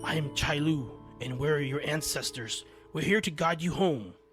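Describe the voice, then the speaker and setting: In a raspy put-on character voice, a man speaks at a fairly high pitch and a moderate pace over faint music in the background. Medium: read story. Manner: commanding.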